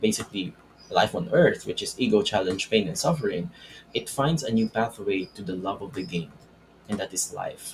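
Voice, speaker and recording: A man's voice, somewhat breathy. His pitch swings very widely. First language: not English. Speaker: self-help video creator. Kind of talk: spiritual self-help talk with whiteboard. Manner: halting, with false starts.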